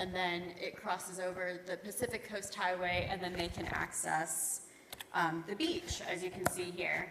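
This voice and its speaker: Over noticeable background noise, a woman with an American accent talks at a fairly slow pace. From United States. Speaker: bridge engineer. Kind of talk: technical presentation.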